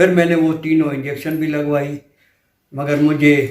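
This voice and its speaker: A man with a fairly high-pitched voice talks amid audible room echo. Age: 70s. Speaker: patient giving a testimonial. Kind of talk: testimony.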